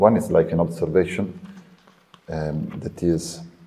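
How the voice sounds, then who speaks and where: A man with an Italian accent at a fairly slow pace. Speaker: podcast host. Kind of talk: podcast interview.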